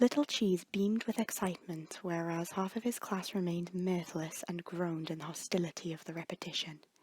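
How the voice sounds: With a slightly husky edge and a slightly mellow tone, a woman talks at a moderate pace, her pitch fairly low and her intonation fairly even.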